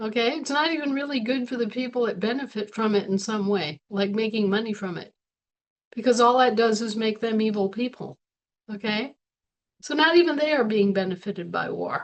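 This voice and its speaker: A woman with an ordinary speaking voice talks at a fairly quick pace and fairly high pitch, with ordinary pitch variation. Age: 60s. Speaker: spiritual teacher. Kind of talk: webinar talk. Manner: conversational, rhetorical questions.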